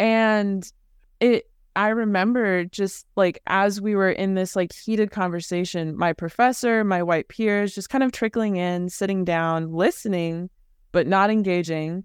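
A normal speaking voice with an American accent, ordinary pitch variation, and a fairly slow pace, in a dry, close sound with no echo over a quiet background. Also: woman. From California, Bay Area. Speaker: illustrator. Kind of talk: interview.

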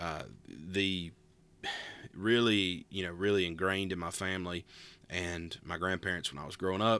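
With an Appalachian accent, a man talks at a moderate pace in a very deep, low pitch, his tone bright and sharp and his intonation fairly even, in a very clean recording with a silent background. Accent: Southern Appalachian American. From US South, Western North Carolina (Appalachia, near Asheville). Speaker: podcast host, pastor. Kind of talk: casual solo talk. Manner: relaxed, with frequent filler words (uh, um).

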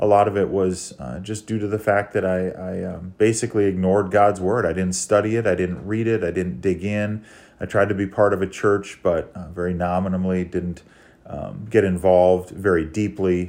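Against a quiet background, a man with a very deep, low voice speaks at a moderate pace and fairly even intonation. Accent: Upper Midwest. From Minnesota, small town. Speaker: church member sharing testimony. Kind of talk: testimony.

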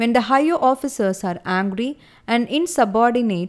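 A woman talks at a moderate pace with an ordinary speaking voice and a fairly high pitch. The recording is very clean, with a silent background. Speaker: audiobook narrator. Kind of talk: literary audiobook reading, measured and even, solemn and formal.

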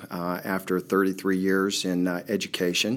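A man with an American accent speaks at a fairly low pitch. His pace is fairly slow. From Youngstown, Ohio. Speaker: football coach. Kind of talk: casual interview.

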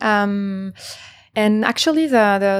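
Woman at a medium pitch with a French accent, in a very clean recording with a silent background. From France, Paris. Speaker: startup co-founder. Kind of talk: panel discussion.

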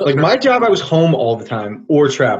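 Very wide pitch swings mark this man's fairly high voice. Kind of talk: casual chat.

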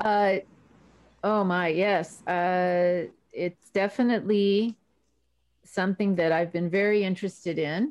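A woman with an American accent speaks fairly slowly at a medium pitch, with fairly even intonation and long, frequent pauses. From southern California, emigrated from Argentina at three. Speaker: dressage trainer and judge. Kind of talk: interview. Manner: hesitant, many fillers.

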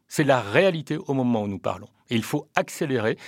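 Over a silent background in a very clean recording, a man with an ordinary speaking voice talks at a moderate pace with lively intonation. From Réunion. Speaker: politician. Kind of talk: radio interview. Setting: studio. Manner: formal.

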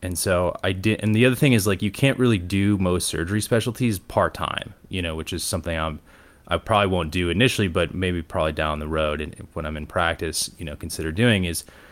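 Speaking very fast in an American accent, a man with a very deep, low pitch and ordinary pitch variation comes through on a very clean recording with a silent background. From Ohio, Cleveland suburbs. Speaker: radiology resident and podcaster. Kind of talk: casual interview chat.

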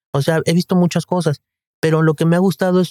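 In a dry, close sound with no echo, a man speaks fairly quickly in a high voice with a dark, mellow tone. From Guadalajara, Mexico. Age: 50s. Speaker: general practitioner. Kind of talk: interview.

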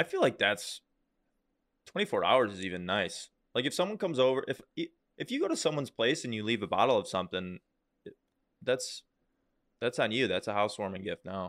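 Talking at a fairly quick pace yet with long, frequent pauses, a medium-pitched man swings very widely in pitch, the sound dry and close with no echo on a very clean recording with a silent background. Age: 20s. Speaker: podcast co-host. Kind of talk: casual chat.

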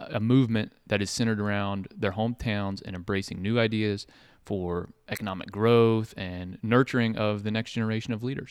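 In an American accent, a man talks at a moderate pace in a plain, everyday voice, fairly low in pitch with ordinary pitch variation. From Ohio, Marietta. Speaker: podcast host and entrepreneur. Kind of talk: casual chat.

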